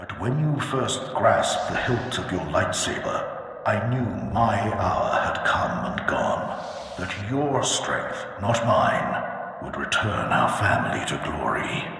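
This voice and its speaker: Heavy echo surrounds a man's put-on character voice, medium in pitch and fairly slow in pace. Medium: machinima. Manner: grandiose, imperious.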